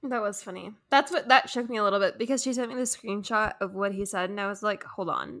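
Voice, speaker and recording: Very fast and fairly high-pitched, a woman speaks with ordinary pitch variation. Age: 20s. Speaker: podcast co-host. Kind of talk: casual chat.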